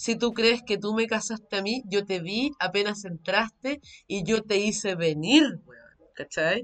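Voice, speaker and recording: A woman at a fairly slow pace, medium in pitch, with ordinary pitch variation and big swings in loudness. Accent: Chilean. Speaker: podcast co-host. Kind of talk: casual chat.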